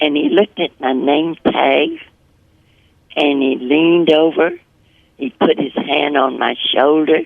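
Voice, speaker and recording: A woman speaks with a very deep, low pitch at a fairly slow pace. Her intonation stays fairly even, broken by long, frequent pauses. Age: 80s+. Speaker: public speaking trainer. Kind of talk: interview answer.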